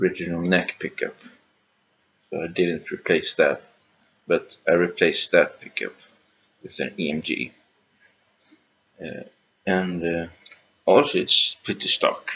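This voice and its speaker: A man speaks at a fairly slow pace with a non-native accent, his loudness swinging widely. Long pauses come often. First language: not English. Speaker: guitar hobbyist youtuber. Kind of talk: casual gear rundown video. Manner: halting, many fillers and restarts.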